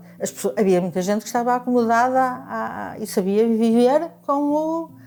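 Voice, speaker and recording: Her tone dark and mellow, a woman with a fairly high pitch speaks at a moderate pace with lively intonation. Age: 70s. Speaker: retired bank clerk, anti-dictatorship activist. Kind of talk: oral history testimony. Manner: halting, many repetitions and fillers.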